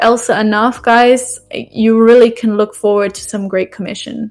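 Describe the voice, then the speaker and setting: At a moderate pace, a woman talks in a flat monotone at a fairly high pitch. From UK. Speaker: brand ambassador program lead. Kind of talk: live stream presentation. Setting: live stream with chat. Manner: casual, many fillers.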